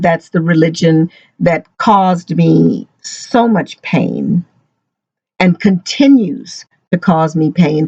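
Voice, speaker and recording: Very slow and somewhat breathy, a woman speaks in a dark, mellow tone, the sound dry and close with no echo. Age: 60s. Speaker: ex-Jehovah's Witness vlogger. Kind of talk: personal testimony vlog. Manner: halting.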